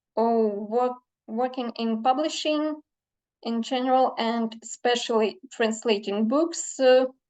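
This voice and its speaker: Over a quiet background, a woman with a Ukrainian accent speaks at a very slow pace, high in pitch with ordinary pitch variation. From Ukraine. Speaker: literary translator. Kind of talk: conference talk. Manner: halting, many fillers.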